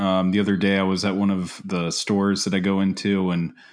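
A plain, everyday voice at a moderate pace over a quiet background. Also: man. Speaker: podcast co-host. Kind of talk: casual podcast chat.

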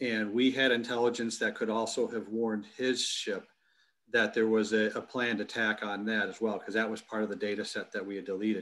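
Speaking in a Midwestern American accent, a man talks at a fairly quick pace with a fairly low pitch. His intonation is flat and monotone. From US Midwest, Michigan. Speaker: military intelligence expert and university executive. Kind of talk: interview. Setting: video call from home basement. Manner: halting, many repetitions.

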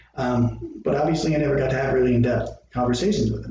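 Noticeable background noise and audible room echo around a man's medium-pitched voice with ordinary pitch variation. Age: 50s. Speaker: school principal and podcast host. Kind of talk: casual chat.

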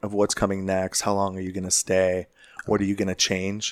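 A man's fairly low, monotone voice with flat intonation, an American accent, and a dry, close sound with no echo. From Chicago. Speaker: fire division chief. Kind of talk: casual interview chat. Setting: in person at a conference.

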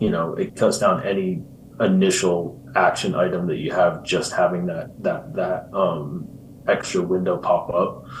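With audible room echo, a man in an American accent speaks at a fairly slow pace. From US Midwest (Iowa), then England from 15. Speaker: insurance agency executive, former pro soccer player. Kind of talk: interview.

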